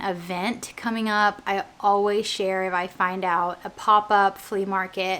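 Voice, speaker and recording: A woman speaks at a fairly slow pace. Her intonation is fairly even. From US, Oklahoma. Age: 20s. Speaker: lifestyle vlogger. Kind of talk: casual vlog Q&A. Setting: at home, living room.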